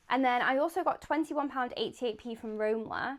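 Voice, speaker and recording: This woman has a British accent and a high pitch. She speaks at a fairly quick pace with ordinary pitch variation. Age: 20s. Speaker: vlogger, stay-at-home mum. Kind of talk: casual talking-to-camera vlog.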